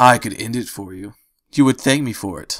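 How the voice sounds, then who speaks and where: Someone puts on a raspy character voice and speaks at a moderate speed. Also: man. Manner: menacing, threatening.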